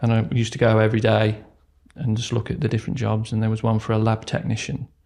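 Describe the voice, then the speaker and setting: With an East Midlands accent, a man speaks at a very fast pace in a fairly low pitch, his dark, mellow tone touched with vocal fry. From England, Derbyshire. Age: 40s. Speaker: retail operations manager. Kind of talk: podcast interview.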